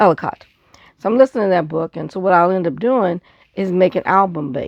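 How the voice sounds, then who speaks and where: Speaking at a fairly quick pace, a woman has a fairly low pitch with vocal fry. The sound is dry and close with no echo, and the background is quiet. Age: 60s. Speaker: scrapbooker, craft video maker. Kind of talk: casual craft show-and-tell. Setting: home craft desk with audiobook playing.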